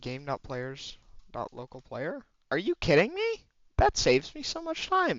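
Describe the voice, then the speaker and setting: The speech moves at a fairly slow pace, broken by long, frequent pauses. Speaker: game developer. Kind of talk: tutorial. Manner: halting; casual.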